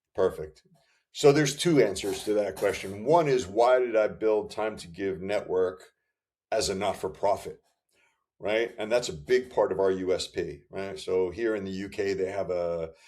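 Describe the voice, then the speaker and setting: Talking at a moderate pace, a man with an American accent has an unremarkable speaking voice with fairly low pitch and ordinary pitch variation. The recording is very clean, with a silent background. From US. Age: 60s. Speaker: founder and former enterprise sales leader. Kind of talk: interview.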